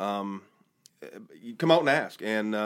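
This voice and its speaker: In a very clean recording with a silent background, a man speaks in a fairly low pitch with an American accent. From Michigan. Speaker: church bass player and volunteer firefighter. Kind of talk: casual chat.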